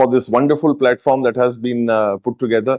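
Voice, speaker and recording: A man with a strong Indian accent, medium in pitch, monotone and flat, at a fairly quick pace. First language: Hindi. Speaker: event speaker. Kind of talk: speech to audience.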